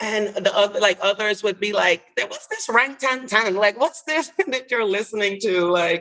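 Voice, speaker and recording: A woman with a Caribbean accent at a moderate pace, with ordinary pitch variation. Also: fairly high pitch for a woman. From US Virgin Islands (St. Croix). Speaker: licensed clinical social worker. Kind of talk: interview answer.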